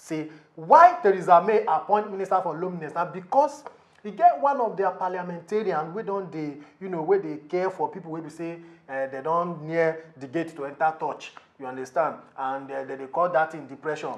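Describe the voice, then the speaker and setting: A man with a high voice talks at a fairly quick pace, his pitch moving in an ordinary way while his loudness swings widely over noticeable background noise. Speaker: TV comedy show presenter. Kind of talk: comedy talk show presenting. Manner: lively, humorous.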